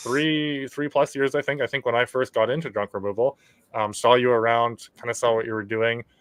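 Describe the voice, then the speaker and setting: A man's fairly quick, fairly even speech at a medium pitch. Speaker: podcast host. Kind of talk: podcast interview.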